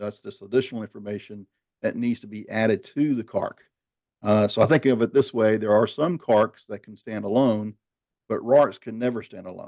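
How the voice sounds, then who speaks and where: In a Southern US accent, a man with a dark, mellow tone talks at a moderate pace with fairly even intonation and big swings in loudness, the sound dry and close with no echo over a quiet background. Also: medium pitch for a man. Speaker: marketing executive hosting a webinar. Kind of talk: webinar discussion.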